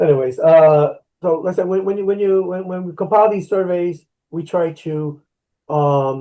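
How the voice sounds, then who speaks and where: The speech comes at a moderate speed in a Spanish accent. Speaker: union negotiation team member. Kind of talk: educational video call Q&A. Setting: video call. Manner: halting, many repetitions.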